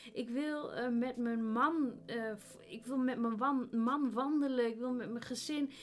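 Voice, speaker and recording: Noticeable background noise sits behind a woman with a high voice who talks at a fairly slow pace with ordinary pitch variation. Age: 30s. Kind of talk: faith testimony interview.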